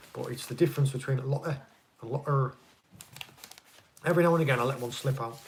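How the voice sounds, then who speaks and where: A man at a very fast pace with long, frequent pauses, fairly high pitch, fairly even intonation, big swings in loudness, and noticeable background noise. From northeast England. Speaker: fishing channel host, ex-Navy. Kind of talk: live stream Q&A chat.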